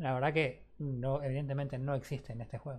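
Somewhat breathy and at a fairly quick pace, a man speaks with a Rioplatense accent on a very clean recording with a silent background. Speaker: gaming podcast host. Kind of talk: casual chat.

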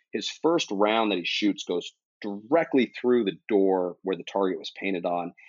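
A man's ordinary speaking voice, fairly low in pitch, at a moderate pace with lively intonation. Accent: American. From San Diego, California. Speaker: cinematographer. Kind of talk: casual chat.

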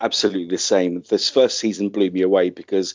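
This man has a fairly low voice with a British accent and talks at a moderate pace. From UK. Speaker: podcast host. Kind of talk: casual chat.

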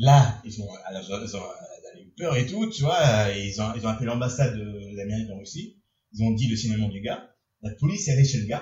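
A man speaks at a fairly quick pace, somewhat breathy, at a medium pitch with ordinary pitch variation. His loudness swings widely. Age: 20s. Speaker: podcast host. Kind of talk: casual chat. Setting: bar-themed studio. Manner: animated.

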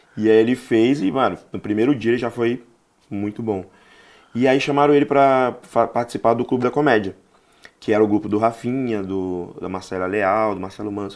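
A man at a medium pitch, moderate pace and ordinary pitch variation, with long, frequent pauses. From Bahia, Brazil, raised in Rio de Janeiro. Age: 40s. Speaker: stand-up comedian. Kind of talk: casual interview chat.

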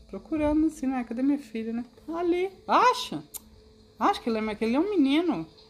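Noticeable background noise sits behind a woman speaking at a fairly quick pace. Her high pitch rises and falls in very wide swings. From Brazil, Mato Grosso (Cáceres). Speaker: host's mother, interviewee. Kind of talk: casual chat, life story.

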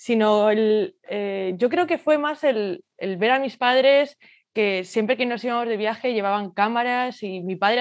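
Over a quiet background, a woman with an unremarkable speaking voice talks at a moderate pace, her fairly high pitch showing ordinary variation. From Spain, Madrid. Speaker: portrait photographer. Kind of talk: interview.

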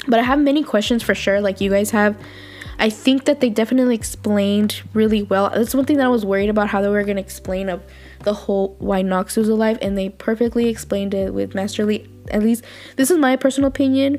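With music in the background, a woman talks at a very fast pace in a fairly high pitch with ordinary pitch variation. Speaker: podcast host. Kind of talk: casual solo commentary. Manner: animated.

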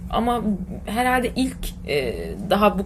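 With noticeable background noise and audible room echo, the woman's voice comes through. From Turkey, Ortaca (Muğla). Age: 20s. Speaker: fashion entrepreneur. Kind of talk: casual interview. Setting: office. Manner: hesitant, many fillers.

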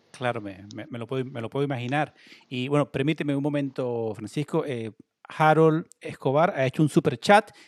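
In a normal speaking voice, a man talks at a moderate pace and a fairly high pitch, with ordinary pitch variation, big swings in loudness and a dry, close sound with no echo. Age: 30s. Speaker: online sports show host. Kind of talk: livestream interview. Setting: at home, video call.

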